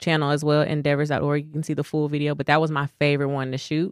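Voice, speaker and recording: A woman with a Dallas accent has a very deep, low pitch and speaks in a flat monotone. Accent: Dallas, Texas. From Dallas, Texas. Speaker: actress and model. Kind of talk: interview.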